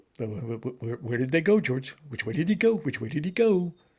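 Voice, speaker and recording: Put-on character voice from a man, fairly high-pitched and moderately paced. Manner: dopey.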